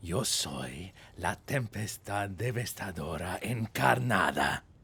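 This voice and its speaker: In a put-on character voice, a man speaks at a fairly slow pace with a very deep, low pitch and lively intonation. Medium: game stream. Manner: dramatic.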